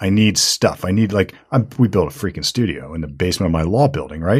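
In a very clean recording with a silent background, a man speaks at a fairly low pitch, somewhat breathy. His pitch swings very widely, and he moves at a fairly quick pace with hardly any pauses. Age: 40s. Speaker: lawyer, podcast host. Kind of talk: casual chat. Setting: studio.

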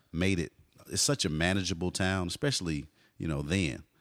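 A man with an American accent speaks at a fairly quick pace, his pitch very deep and low with ordinary variation. The recording is very clean, with a silent background and a dry, close sound with no echo. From Texas, Garland (Dallas area). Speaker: hip hop artist and teacher. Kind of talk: casual interview.

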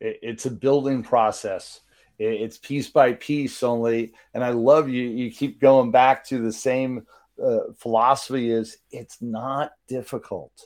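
In a flat monotone, a man talks at a fairly slow pace with a medium pitch. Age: 50s. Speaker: podcast host and business coach. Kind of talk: casual interview. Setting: live online broadcast.

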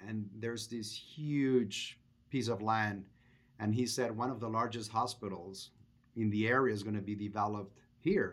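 A man speaks at medium pitch and a moderate pace in a Spanish accent. His intonation is fairly even, and the recording is very clean with a silent background. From Venezuela. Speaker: restaurant chain executive. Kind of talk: interview.

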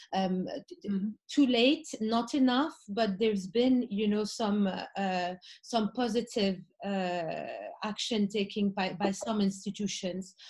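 The voice is somewhat breathy, with ordinary pitch variation and a very slow pace. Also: woman, medium pitch for a woman. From Morocco. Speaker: art fair founder. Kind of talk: panel discussion.

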